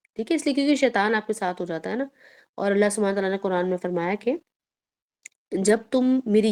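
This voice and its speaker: The recording of a woman at medium pitch sounds dry and close with no echo, her pitch varying in an ordinary way. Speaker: Islamic teacher. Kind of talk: religious lecture. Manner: stern, firm tone; plain, even tone.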